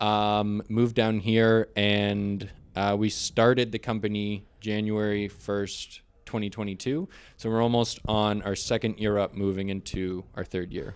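With a Canadian accent, a man speaks at a fairly low pitch in a monotone, flat way at a fairly slow pace, on a very clean recording with a silent background. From Ontario, Canada (St. Catharines, Niagara). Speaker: business owner, network cabling and TV installer. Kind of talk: casual interview.

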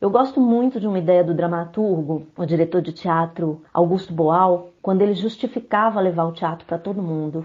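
A woman speaks in a normal speaking voice, fairly low in pitch, with ordinary pitch variation at a moderate pace. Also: hardly any pauses. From Brazil, Belo Horizonte, Minas Gerais. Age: 40s. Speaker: poet. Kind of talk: interview.

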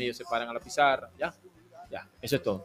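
An ordinary speaking voice, with ordinary pitch variation. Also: man. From Venezuela (Maracay, Aragua). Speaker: personal trainer and physical education teacher. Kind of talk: radio interview. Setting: radio studio.

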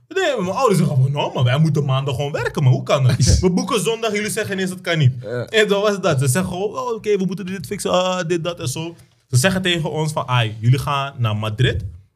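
With hardly any pauses, a man races at a very fast pace, his high pitch moving in very wide swings. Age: 20s. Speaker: perfume entrepreneur. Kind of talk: casual chat. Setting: studio.

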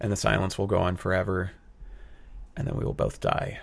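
Vocal fry runs through this man's very deep, low voice. He speaks at a fairly quick pace with ordinary pitch variation. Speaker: actor and new stand-up comedian. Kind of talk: casual chat. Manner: rambly, self-deprecating.

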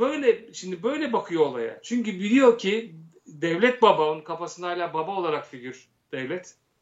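This man talks at a high pitch with very wide pitch swings. His loudness swings a lot, and his pace is moderate. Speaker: actor, director and satirical producer. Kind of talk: casual interview chat.

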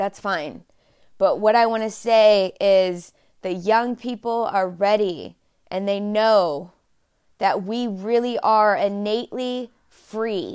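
A woman with an American accent speaks very slowly at a fairly high pitch, with ordinary pitch variation, against a quiet background. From Texas, Dallas. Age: 30s. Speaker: podcast host. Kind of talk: solo monologue podcast.

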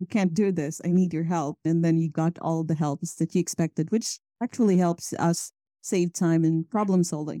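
Her voice has a fairly low pitch and a dark, mellow tone, with fairly even intonation at a moderate pace. The woman's sound is dry and close with no echo. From Philippines. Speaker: cloud developer and community leader. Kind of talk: podcast interview.

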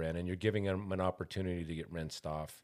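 Recorded very cleanly against a silent background, a man speaks with a very deep, low pitch and an American accent. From Montana. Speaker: podcast host. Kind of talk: interview. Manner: loud.

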